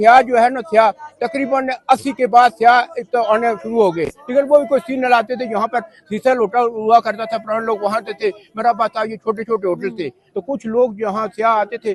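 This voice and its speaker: The recording has a dry, close sound with no echo. A man speaks with a high pitch and fairly even intonation. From Murree, Pakistan. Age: old. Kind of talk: interview answer.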